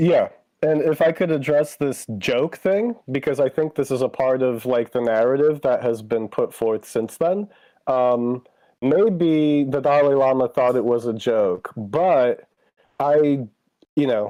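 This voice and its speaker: Speaking at a fairly slow pace, a man with an unremarkable speaking voice holds a fairly high pitch, ordinary pitch variation and very even loudness. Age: 40s. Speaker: stream guest. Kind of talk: casual chat.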